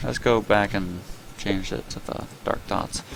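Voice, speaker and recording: Background noise is noticeable throughout. Through it, a man talks at a moderate speed. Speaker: gaming YouTuber. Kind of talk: casual gameplay commentary.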